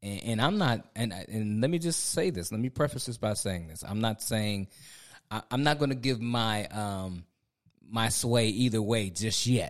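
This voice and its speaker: In a very clean recording with a silent background, a man with an American accent uses a normal speaking voice at medium pitch, with ordinary pitch variation and a moderate pace. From Ohio. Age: 40s. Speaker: pastor and podcast co-host. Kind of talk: casual chat.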